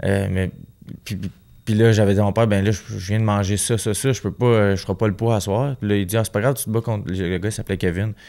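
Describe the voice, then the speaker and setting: A man with a Quebec accent, a dark, mellow tone and a fairly low pitch, at a very fast pace with fairly even intonation over a quiet background. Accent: Québécois French. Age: 20s. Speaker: professional boxer; guest. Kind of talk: casual interview. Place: studio. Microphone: studio mic.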